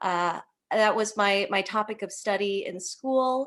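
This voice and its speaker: In a Chicago accent, a woman speaks at a fairly slow pace and fairly high pitch. The recording is very clean, the background silent. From Chicago, South Side. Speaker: linguistics speaker. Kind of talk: presentation. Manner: neutral broadcast-style English at first.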